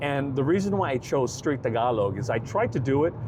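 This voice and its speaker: Over noticeable background noise, a man with an American accent and a medium pitch talks at a fairly quick pace with ordinary pitch variation. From San Francisco, US. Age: 60s. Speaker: travel vlogger. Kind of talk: casual vlog talk to camera. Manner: halting, many fillers.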